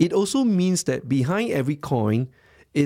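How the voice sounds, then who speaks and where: At a moderate pace, a man with a fairly high pitch makes very wide pitch swings in a very clean recording with a silent background. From Singapore. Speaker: tech entrepreneur. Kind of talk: interview. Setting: studio.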